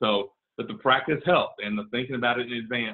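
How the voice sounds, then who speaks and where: The pace is very fast. This man's pitch shows ordinary variation. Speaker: recruitment executive. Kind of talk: webinar presentation. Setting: video call.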